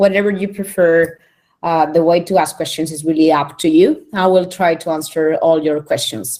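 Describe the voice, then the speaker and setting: With a Spanish accent and a dark, mellow tone, this voice holds fairly even intonation at a moderate pace. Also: woman, fairly low pitch for a woman. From Spain. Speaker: internet organization director. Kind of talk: conference presentation. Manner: hesitant, many fillers.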